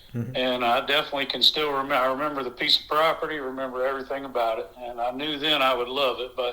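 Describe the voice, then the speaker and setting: Through noticeable background noise, someone with an American accent talks at a very fast pace with monotone, flat intonation. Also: man, medium pitch for a man. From US South, South Carolina (Blythewood). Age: 40s. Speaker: rabbit hunter, dog owner. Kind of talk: casual interview. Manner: hesitant, many fillers.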